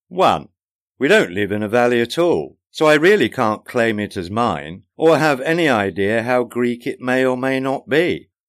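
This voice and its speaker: A man with a warm tone and medium pitch talks at a moderate pace, his pitch swinging very widely. The recording is very clean, with a silent background. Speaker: podcaster and author. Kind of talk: casual chatty podcast intro, then audiobook narration of the book's preface. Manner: wry, dry humour, conversational; measured, warm, self-deprecating narration.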